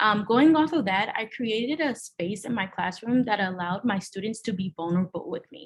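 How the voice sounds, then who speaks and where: Somewhat breathy, a woman talks at a medium pitch. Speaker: teacher. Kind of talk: presentation. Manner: halting.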